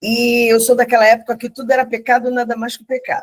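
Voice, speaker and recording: Dry and close, with no echo at all, a woman's voice is heard. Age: 60s. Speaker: church member. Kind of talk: testimony.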